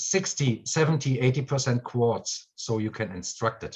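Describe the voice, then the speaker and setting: With a German accent, a man talks at a moderate pace in a medium pitch, his intonation lively and his voice somewhat breathy. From Germany. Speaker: spiritual course teacher. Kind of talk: live stream chat. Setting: video call live stream.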